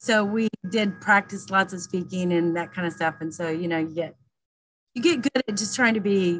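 Speaking with an American accent, a woman sounds somewhat breathy at a moderate pace, with ordinary pitch variation and a dry sound with no echo. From US South (Southern Illinois, Knoxville, Tennessee); US South. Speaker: quilter; guest. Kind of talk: interview. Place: home room. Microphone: video call.

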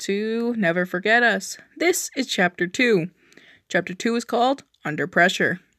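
A natural voice reading aloud, pitch moving in an ordinary way

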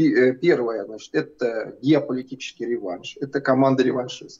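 Ordinary pitch variation in a man's voice, with a quiet background. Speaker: guest. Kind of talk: interview answer. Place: office. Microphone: video call.

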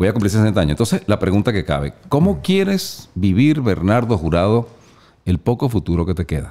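A man with fairly low pitch and a dark, mellow tone, fairly quick pace, lively intonation and very even loudness. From Venezuela. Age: 50s. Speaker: motivational speaker and publisher; motivational speaker. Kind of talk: casual chat. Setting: studio. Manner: animated. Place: home room. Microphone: studio mic.

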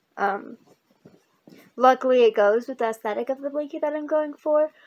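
A woman's voice, moderate in tempo, with ordinary pitch variation. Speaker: crochet vlogger. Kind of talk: casual vlog chat. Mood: cheerful, relaxed. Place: home room. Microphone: webcam.

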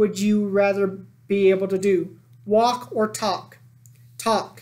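Text is being read aloud. The delivery is natural.

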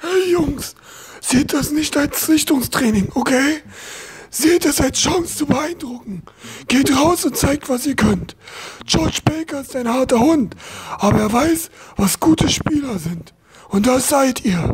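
A high-pitched voice at a fairly slow pace. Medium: machinima. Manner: warm, encouraging.

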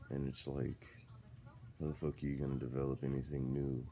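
A man with a very deep, low voice speaks at a moderate pace. His delivery is flat and monotone over light background noise. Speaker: vlogger. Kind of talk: casual vlog chat, venting opinions. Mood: frustrated but relaxed. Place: home room. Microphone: phone near.

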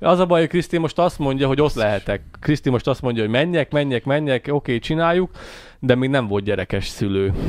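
Talking at a very fast pace, a man with a fairly high pitch and lively intonation is heard in a dry sound with no echo. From Hungary. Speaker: podcast co-host. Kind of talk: casual chat. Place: studio. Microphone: studio mic.

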